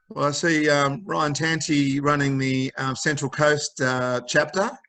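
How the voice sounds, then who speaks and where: With an Australian accent, a man speaks in a bright, sharp tone at a fairly slow pace, his pitch fairly high with ordinary variation. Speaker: mental health charity founder. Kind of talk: interview.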